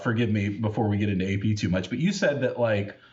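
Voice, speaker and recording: With noticeable background noise and audible room echo, a man rushes along at a very fast pace. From United States. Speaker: podcast host. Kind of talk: casual chat.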